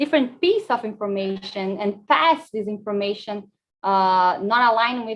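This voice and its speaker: A woman with a normal speaking voice speaks at a fairly slow pace and medium pitch with ordinary pitch variation. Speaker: emergency management presenter. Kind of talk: conference presentation.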